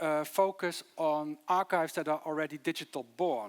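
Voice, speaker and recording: This man speaks with a Dutch accent, his voice dry and close with no echo, on a very clean recording with a silent background. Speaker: city archivist. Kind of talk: conference presentation. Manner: fast.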